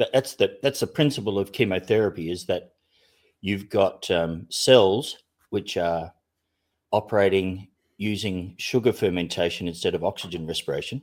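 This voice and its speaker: The man uses an Australian accent and talks at a moderate pace. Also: fairly low pitch for a man, ordinary pitch variation. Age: 60s. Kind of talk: casual chat. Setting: online group call.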